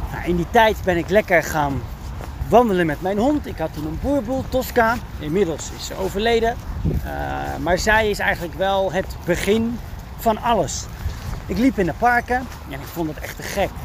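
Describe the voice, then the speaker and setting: Against noticeable background noise, a man with a high pitch and ordinary pitch variation talks at a moderate pace, taking long, frequent pauses. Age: 30s. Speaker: dog trainer and podcast host. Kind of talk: solo podcast monologue. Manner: frequent fillers and hesitations.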